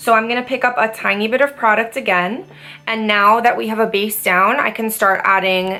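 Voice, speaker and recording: With music in the background, a woman talks in a fairly high pitch with ordinary pitch variation. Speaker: esthetician and makeup artist. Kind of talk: makeup tutorial talk to camera. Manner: casual, chatty.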